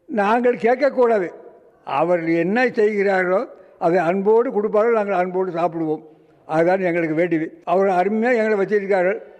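Noticeable background noise sits behind a man whose high voice holds very even loudness and ordinary pitch variation. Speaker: care home resident. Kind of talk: interview testimony.

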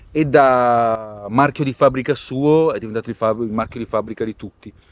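Here a man speaks at a moderate pace in a medium pitch with fairly even intonation. The sound is dry with no echo. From Italy. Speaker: rapper; interviewee. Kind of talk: interview. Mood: relaxed, casual. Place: street.

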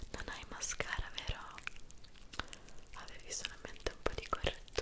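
A woman whispers in a calm tone at a moderate pace. Her loudness swings widely. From Italy. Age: 20s. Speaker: ASMR creator. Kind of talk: ASMR skincare roleplay. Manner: soft-spoken, calm. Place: home room. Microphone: studio mic.

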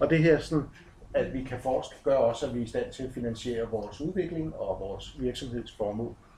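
A somewhat breathy man's voice with lively intonation and a fairly quick pace, with audible room echo and light background noise. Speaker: project manager giving a talk. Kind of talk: conference presentation. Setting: conference with slides. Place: hall. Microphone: camera far.

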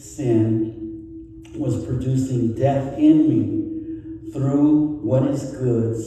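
Strong room echo surrounds a man who speaks very slowly with fairly even intonation. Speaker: pastor. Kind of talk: sermon. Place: church.

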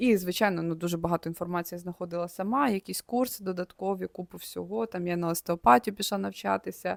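Speaking at a very fast pace with hardly any pauses, a woman with a fairly low pitch comes through in a dry, close sound with no echo. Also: ordinary pitch variation, very clean recording, silent background. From Ukraine, Poltava region village. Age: 30s. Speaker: vlogger. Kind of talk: casual monologue to camera. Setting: studio.

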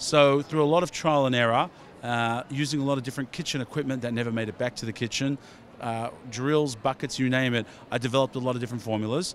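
A man with a slight Australian accent talks at a very fast pace and medium pitch, his intonation fairly even, the sound dry with no echo and light background noise behind him. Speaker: beauty product company founder; product creator. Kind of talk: trade show interview. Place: hall. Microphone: handheld.

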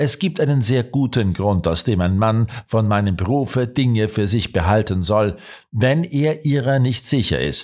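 A man speaks in a plain, everyday voice at medium pitch, with lively intonation at a fairly slow pace. His loudness stays very even, and the recording is very clean with a silent background. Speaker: audiobook narrator. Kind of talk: audiobook narration, scripted reading of a crime story. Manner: measured, steady storytelling pace, shifting tone for dialogue and suspense; formal, literary delivery.

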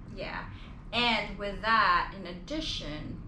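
A woman talks at a very slow pace while loud noise fills the background. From Philippines. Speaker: vlogger. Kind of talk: casual chat. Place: home room. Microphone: camera far.

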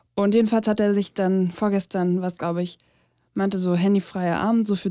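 A woman's medium-pitched voice with a dark, mellow tone and monotone, flat intonation, on a very clean recording with a silent background. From Germany, small village. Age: 20s. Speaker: podcast co-host. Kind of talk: casual chat.

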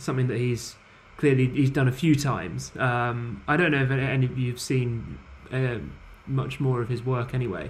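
A somewhat breathy voice at a moderate pace. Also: man. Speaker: podcast panelist. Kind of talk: casual roundtable discussion. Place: home room. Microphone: video call.

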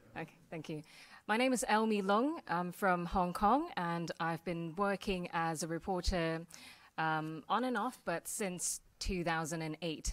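In a normal speaking voice, a woman with a fairly low pitch and ordinary pitch variation speaks at a fairly slow pace. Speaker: panelist, TV news reporter. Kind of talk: panel introduction talk. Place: hall.

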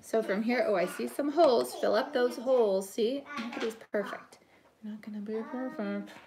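With noticeable background noise, a woman speaks at a fairly high pitch with ordinary pitch variation. She goes fairly slowly, with long, frequent pauses. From Canada. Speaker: pastry chef; home cook host. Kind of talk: live kitchen tutorial. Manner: casual and chatty. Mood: relaxed, chatty. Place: kitchen. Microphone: phone near.

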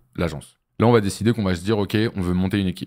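A man talks at a fairly quick pace and fairly low pitch with ordinary pitch variation. The background is quiet. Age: 20s. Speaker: agency founder and entrepreneurship trainer; entrepreneurship trainer. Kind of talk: business masterclass interview. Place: studio. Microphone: studio mic.

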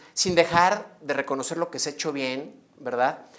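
His voice sits at a fairly high pitch for a man. The pitch varies in an ordinary way. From Mexico, León, Guanajuato; Guanajuato, Mexico. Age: 30s. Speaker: mayoral candidate; candidate. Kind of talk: interview. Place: studio. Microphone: lapel.

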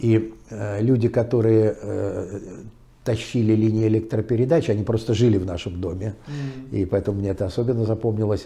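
At a moderate pace, a man talks in a somewhat breathy, medium-pitched voice with a dark, mellow tone and fairly even intonation. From Pskov region, Russia. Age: 70s. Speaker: public speaker, author, former officer. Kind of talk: interview, storytelling. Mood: warm, reminiscing. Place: home room. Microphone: lapel.

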